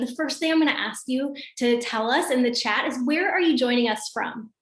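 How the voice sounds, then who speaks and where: With an American accent, a woman speaks fairly quickly at a high pitch, amid noticeable background noise and audible room echo. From US Midwest, Michigan. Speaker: wellness business coach, former teacher. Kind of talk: video call presentation. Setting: video call. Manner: casual, upbeat.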